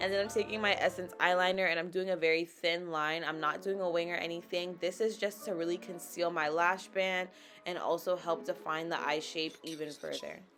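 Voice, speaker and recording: A woman speaks at a moderate pace in a fairly low voice with ordinary pitch variation. Music plays in the background. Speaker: makeup vlogger. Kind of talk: casual talk to camera.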